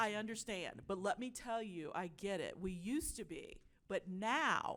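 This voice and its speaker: A woman talks at a medium pitch. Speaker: media executive. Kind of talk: panel discussion. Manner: loud.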